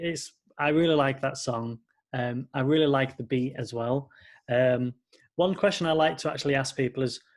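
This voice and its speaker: A man speaks in a British accent at medium pitch. His pace is moderate and his intonation fairly even. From Britain. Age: 20s. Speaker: podcast host and music producer. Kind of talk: interview.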